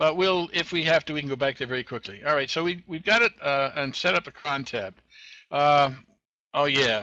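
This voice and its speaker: Bright, sharp tone and lively intonation at a moderate pace, with a dry, close sound free of echo and a quiet background. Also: man, fairly high pitch for a man. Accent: Boston. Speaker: web tech show host. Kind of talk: screen-share tutorial. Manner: casual, halting with fillers.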